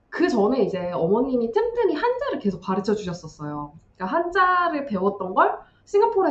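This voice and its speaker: A woman speaks at a fairly quick pace, her pitch swinging very widely, with noticeable background noise behind her. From South Korea. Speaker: YouTuber on studying in China. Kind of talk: casual chat.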